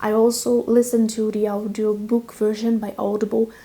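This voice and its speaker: With a non-native accent, a woman speaks at a moderate pace. Her pitch sits fairly high. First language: not English. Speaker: book reviewer. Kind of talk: book review talk. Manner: casual, frequent fillers.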